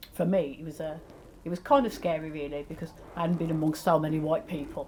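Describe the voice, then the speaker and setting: With a West Midlands accent, a woman speaks at a fairly quick pace in a fairly low pitch with ordinary pitch variation. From Walsall area, West Midlands, England. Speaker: community interviewee. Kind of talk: testimony.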